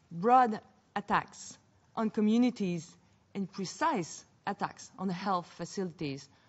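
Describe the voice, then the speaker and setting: The pace here is fairly slow. It is a woman's voice. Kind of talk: formal speech. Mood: grave, measured. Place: hall. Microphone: podium.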